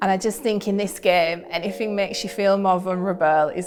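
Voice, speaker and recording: Speaking in a Yorkshire accent at a moderate pace, a woman has a medium pitch and monotone, flat intonation, with noticeable background noise. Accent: northern English (Yorkshire). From Yorkshire, Bradford. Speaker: documentary producer. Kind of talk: interview testimony.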